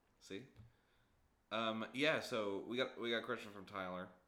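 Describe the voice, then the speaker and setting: A man with an American accent talks at a fairly quick pace. His tone is bright and sharp at a medium pitch, with audible room echo. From US East Coast. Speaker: game designer and podcast co-host. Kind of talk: casual chat. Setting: in person, same room. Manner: animated, laughing often.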